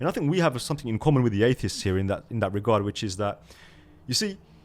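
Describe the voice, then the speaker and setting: This man speaks with a British accent and lively intonation. His tone is animated. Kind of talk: casual discussion.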